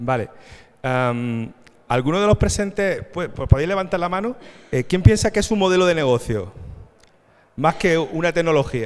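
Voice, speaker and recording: A man with an Andalusian accent speaks at a moderate pace with long, frequent pauses. His fairly high pitch moves in very wide swings. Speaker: panel moderator. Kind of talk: conference panel moderation. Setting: stage with audience. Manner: halting.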